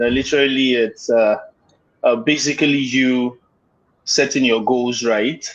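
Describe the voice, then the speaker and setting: A man with a medium pitch talks at a fairly slow pace, leaving long, frequent pauses, with very even loudness and fairly even intonation. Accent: Nigerian. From Nigeria, Lagos (Yoruba). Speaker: guest, maritime graduate. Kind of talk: casual interview. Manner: halting, many fillers.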